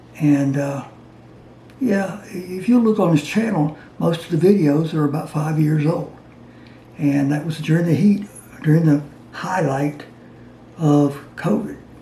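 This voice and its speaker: With long, frequent pauses, a man talks at a fairly slow pace over noticeable background noise. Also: fairly high pitch for a man, ordinary pitch variation. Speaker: DIY maker and retired science teacher. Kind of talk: casual talk to camera. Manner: halting.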